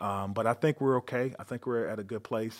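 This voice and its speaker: A man talks at a very fast pace, his pitch fairly low with ordinary variation. The recording is very clean, with a silent background. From North Carolina. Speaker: police chief. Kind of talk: interview.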